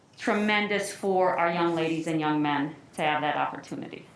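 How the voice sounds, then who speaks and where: Someone speaks at a moderate pace with an American accent and ordinary pitch variation. Noticeable background noise and audible room echo fill the recording. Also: woman. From northern US. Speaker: athletic trainer and parent at public comment. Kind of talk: public comment at school board meeting. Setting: school board meeting.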